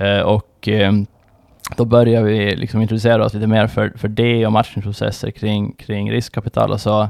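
A man speaks in a fairly low pitch. His intonation is monotone and flat. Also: moderate pace. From Åland, Finland. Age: 30s. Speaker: fund manager. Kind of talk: interview. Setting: studio.

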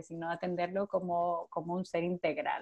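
A woman's voice at a moderate pace. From Costa Rica. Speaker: physiotherapist and Pilates teacher. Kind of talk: casual interview.

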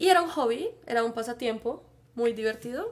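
Speaking in a Bogotá accent, a woman has a high pitch and lively intonation. Her pace is fairly slow. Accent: Bogotá Colombian Spanish. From Colombia, Bogotá. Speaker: biologist and Spanish teacher. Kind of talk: casual chat.

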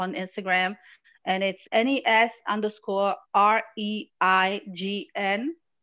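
With music in the background, the speaker talks at a very slow pace in an Arabic accent. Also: woman. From Morocco. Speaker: artist and entrepreneur. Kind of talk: casual interview.

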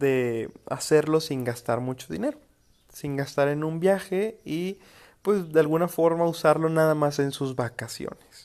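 A man with a Mexican accent talks in an animated tone at a fairly high pitch. His pitch moves with ordinary variation. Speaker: podcast host. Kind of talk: casual monologue.

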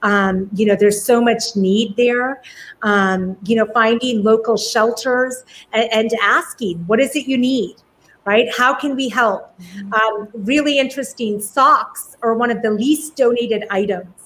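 Here is a woman with an ordinary speaking voice, pitched fairly high, speaking at a fairly slow pace with ordinary pitch variation. The recording is very clean, with a silent background. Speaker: professor and homelessness advocate. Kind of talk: interview conversation. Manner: warm, effusive.

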